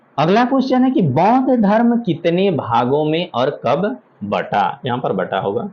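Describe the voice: Speaking at a fairly slow pace, a man uses lively intonation at a fairly high pitch.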